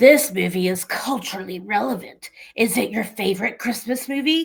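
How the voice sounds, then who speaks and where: A female-sounding voice puts on a character voice at a fairly high pitch and a moderate pace. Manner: creepy.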